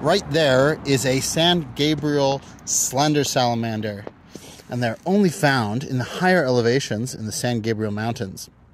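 A man speaks at a moderate pace with ordinary pitch variation, the dry sound carrying no echo over light background noise. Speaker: wildlife field host. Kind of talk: casual vlog chat. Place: forest. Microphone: phone near.

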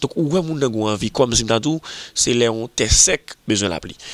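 At a fairly quick pace, a man with an ordinary speaking voice shows ordinary pitch variation. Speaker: magazine show presenter. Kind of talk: video magazine presentation.

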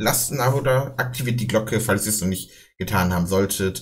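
Over a quiet background, a man with a fairly low pitch speaks at a very fast pace in a somewhat breathy voice. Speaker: reaction streamer. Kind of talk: casual reaction commentary.

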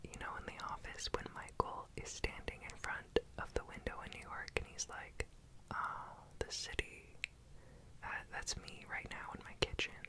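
Someone whispers at a moderate pace in a relaxed tone, with noticeable background noise. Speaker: ASMR baking creator. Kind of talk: whispered ASMR cooking voiceover. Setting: home kitchen, close microphone. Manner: whispered, relaxed, soft-spoken.

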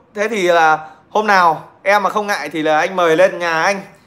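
At a very slow pace, the voice has a bright, sharp tone and fairly even intonation. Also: man. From Nghệ An, Vietnam; Vietnam. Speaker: livestreamer telling stories. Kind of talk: casual livestream chat and storytelling. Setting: online livestream. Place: home room. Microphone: phone near.

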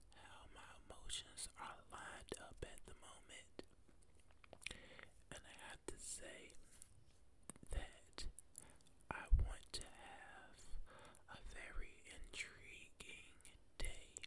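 A man whispering at a very slow pace, with long, frequent pauses. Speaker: ASMR creator. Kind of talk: ASMR whisper ramble, motivational talk to camera. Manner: whispered, soft-spoken. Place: home room. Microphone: studio mic.

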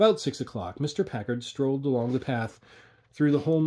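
The pitch moves in an ordinary way through this natural reading voice.

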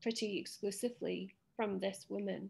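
A woman with a medium pitch and an English accent speaks at a moderate pace. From England. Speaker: photographer; podcast co-host. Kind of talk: casual chat. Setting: video call. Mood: reflective, personal. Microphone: video call.

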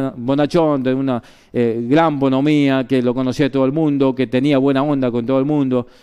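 The background is quiet around this man. His pace is moderate. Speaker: sports journalist / radio broadcaster, former colleague of the deceased. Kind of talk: radio tribute and eulogy for a colleague. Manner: conversational, with hesitations and fillers. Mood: warm, somber remembrance. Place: studio.

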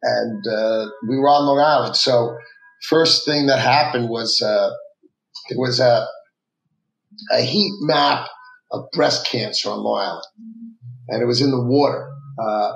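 Long, frequent pauses break up a fairly slow delivery heard with audible room echo. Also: man. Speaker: guest. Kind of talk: interview answer. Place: office.

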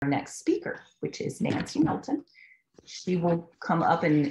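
Over a quiet background, the speaker talks at a very slow pace in a somewhat breathy voice. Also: woman. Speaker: meeting moderator. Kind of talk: event introduction. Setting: video call. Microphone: video call.

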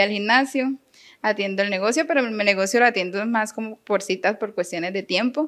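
Her pitch is fairly high and varies in an ordinary way as this woman speaks. She keeps a moderate pace over a quiet background. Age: 30s. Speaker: teacher. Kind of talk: interview.

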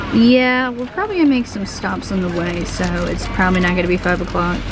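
A woman at a very fast pace, dry sound with no echo, music in the background. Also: ordinary pitch variation. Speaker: vlogger. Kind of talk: casual vlog chat. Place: car. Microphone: phone near.

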